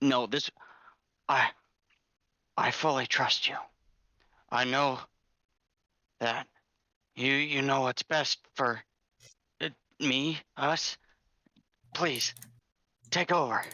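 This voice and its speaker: A raspy, put-on character voice sits at a low-to-middle pitch. The pace is very slow, with long, frequent pauses. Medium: actual play. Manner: stammering, nervous.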